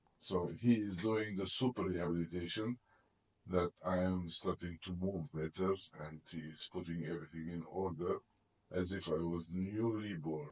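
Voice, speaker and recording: Fairly even intonation marks the speech, which keeps a moderate pace. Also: man, very deep, low pitch for a man, dry, close sound with no echo. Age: 60s. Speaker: chiropractic patient. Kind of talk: testimonial.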